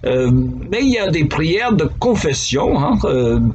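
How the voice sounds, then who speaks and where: A man with an American accent speaks very slowly at a fairly high pitch, with very wide pitch swings. Noticeable background noise and audible room echo fill the recording. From United States. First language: English (speaking French). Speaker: pastor. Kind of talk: devotional talk. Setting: office. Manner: conversational.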